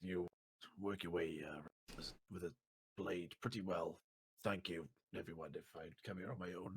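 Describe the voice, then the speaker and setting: In a put-on character voice, a man speaks at a moderate pace with a raspy, very deep, low pitch. He leaves long, frequent pauses. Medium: actual play.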